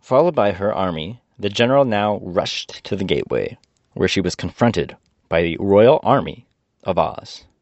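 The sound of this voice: Over a quiet background, the reading voice stays unforced.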